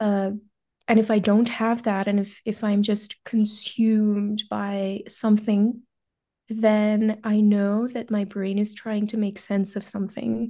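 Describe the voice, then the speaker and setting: A woman speaks very slowly in a fairly high pitch, her tone dark and mellow. Her intonation stays monotone and flat against a quiet background. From western India, small town. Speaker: product manager, first-generation immigrant. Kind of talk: podcast interview.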